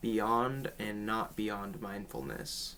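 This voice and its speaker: Bright, sharp tone marks this man's voice. His pitch is medium and his intonation fairly even. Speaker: spiritual teacher. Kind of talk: casual talk to camera. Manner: some stuttering.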